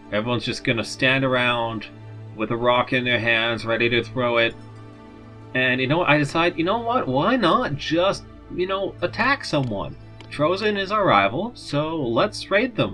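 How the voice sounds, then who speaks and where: Over music in the background, a man talks with very wide pitch swings. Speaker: let's play commentator. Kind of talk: casual gameplay commentary. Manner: mumbling.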